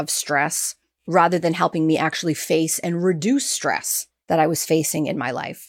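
At a moderate pace, a woman speaks in a plain, everyday voice at a fairly low pitch, captured in a very clean recording with a silent background and a dry, close sound with no echo. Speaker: podcast host. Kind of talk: interview conversation.

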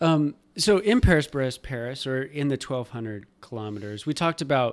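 A man at medium pitch with an ordinary speaking voice, ordinary pitch variation and a moderate pace, on a very clean recording with a silent background. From Nebraska. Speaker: podcast host. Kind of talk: interview.

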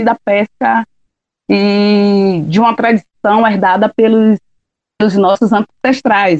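A woman speaks in a Bahian accent with a fairly high voice and fairly even intonation. The sound is dry and close, with no echo. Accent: Bahian Brazilian Portuguese. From Bahia, Brazil (Ilha de Maré, Salvador). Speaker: shellfish gatherer and quilombola community leader. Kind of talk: interview testimony.

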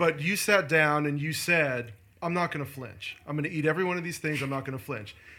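The pace is fairly quick, with ordinary pitch variation. Noticeable background noise runs underneath. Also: man, fairly high pitch for a man. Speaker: podcast host. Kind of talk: casual interview. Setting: in person in an office.

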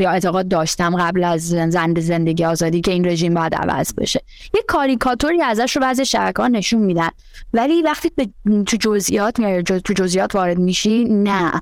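A normal speaking voice from a woman, medium in pitch, with lively intonation, very even loudness and a fairly quick pace. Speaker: panel guest. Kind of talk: casual discussion.

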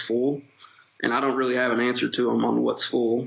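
A man speaks with an Appalachian accent. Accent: Appalachian Kentucky. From Eastern Kentucky, Appalachia. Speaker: golf club general manager. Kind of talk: casual interview.

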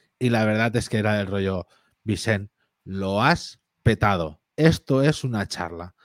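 A man with a fairly low pitch speaks at a fairly slow pace in an animated tone, with ordinary pitch variation. The recording is very clean with a silent background, and the sound is dry and close with no echo. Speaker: podcast co-host. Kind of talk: casual chat.

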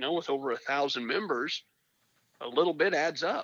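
A man talks in an unremarkable speaking voice at a fairly quick pace. His pitch is fairly high, with ordinary pitch variation. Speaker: fireworks trade association president. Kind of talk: interview. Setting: phone call.

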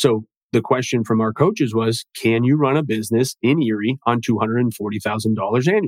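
A man with an unremarkable speaking voice at medium pitch talks at a moderate pace, the sound dry and close with no echo. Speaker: real estate broker. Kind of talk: interview conversation.

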